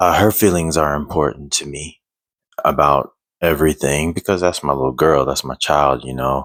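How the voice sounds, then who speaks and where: A quiet man with a very deep, low pitch and fairly even intonation. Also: moderate pace. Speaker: single father vlogger. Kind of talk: personal vlog. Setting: at home at night. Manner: quiet, low voice; halting, many fillers.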